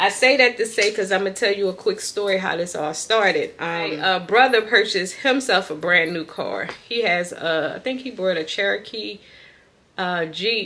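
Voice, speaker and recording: With light background noise behind her, a woman speaks at a moderate pace in a medium pitch with ordinary pitch variation. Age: 40s. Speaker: lifestyle vlogger. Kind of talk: casual vlog chat. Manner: animated. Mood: upbeat, grateful. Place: home room. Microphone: phone near.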